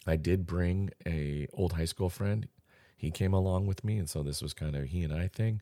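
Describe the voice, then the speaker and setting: In an American accent, a man speaks at a moderate pace with a very deep, low pitch, a dark, mellow tone and ordinary pitch variation. The recording is very clean with a silent background, dry and close with no echo. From US Pacific Northwest. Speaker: podcast host. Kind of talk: solo podcast monologue. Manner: casual.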